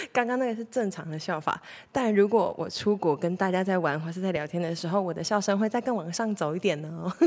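On a very clean recording with a silent background, a woman talks at a very fast pace with hardly any pauses. Her tone is animated, her pitch medium with ordinary variation. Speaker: podcast host. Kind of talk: casual monologue. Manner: animated, frequent loud laughter.

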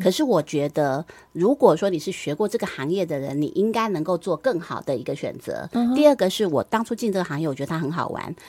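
Very wide pitch swings mark a woman's fairly low voice at a very fast pace. The recording is very clean, with a silent background. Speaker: former radio host and media executive. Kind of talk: interview.

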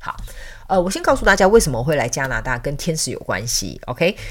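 A woman speaks in a Taiwanese accent. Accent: Taiwanese Mandarin. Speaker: podcast host and spiritual counselor. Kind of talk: casual chat.

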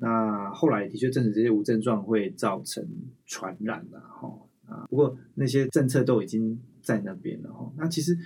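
Through audible room echo, a man with vocal fry and lively intonation speaks at a moderate pace and medium pitch, with big swings in loudness. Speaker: infectious disease physician and researcher. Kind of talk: interview conversation. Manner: frequent fillers.

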